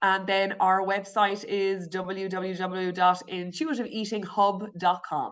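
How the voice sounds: A woman speaks slowly at a medium pitch with a rural Irish accent. Her tone is fairly bright, with little pitch movement.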